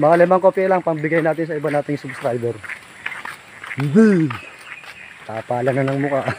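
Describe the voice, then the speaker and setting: A man with a fairly high pitch, ordinary pitch variation and a fairly quick pace, broken by long, frequent pauses, against noticeable background noise. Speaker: fishing vlogger. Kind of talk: casual vlog narration. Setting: outdoors by a river.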